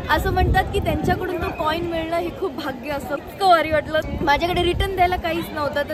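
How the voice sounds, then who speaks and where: Amid crowd noise and audible room echo, a woman speaks with a high pitch. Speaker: travel vlogger. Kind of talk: casual vlog. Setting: outdoors at temple. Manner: animated.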